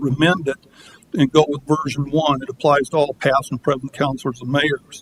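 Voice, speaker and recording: A man with a fairly high, somewhat breathy voice talks at a moderate pace. The sound is dry and close, with no echo. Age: 70s. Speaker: public commenter. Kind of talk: public comment at city council meeting. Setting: council chamber, public meeting.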